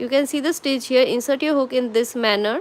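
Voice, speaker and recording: A woman speaks with a Bengali accent. Her intonation is lively. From India, Kolkata. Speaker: crochet tutor. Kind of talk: live tutorial. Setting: livestream. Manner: slow, step-by-step counting.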